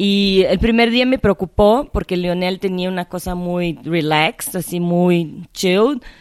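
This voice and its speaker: A woman with a Portuguese accent and ordinary pitch variation, on a very clean recording with a silent background. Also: dry, close sound with no echo. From Brazil (Rio de Janeiro). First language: Portuguese (speaking Spanish). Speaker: cinematographer. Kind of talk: interview. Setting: at the guest's home.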